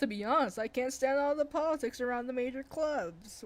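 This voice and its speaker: A female-sounding put-on character voice, high-pitched, at a fairly quick pace. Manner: put-on, made up voice for her.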